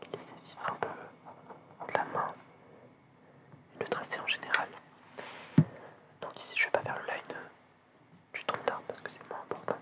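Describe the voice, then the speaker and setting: The voice whispers at a fairly slow pace, with long, frequent pauses. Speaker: ASMR content creator and artist. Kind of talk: ASMR relaxation video, drawing while talking softly to the viewers. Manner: soft-spoken, calm, relaxed pace.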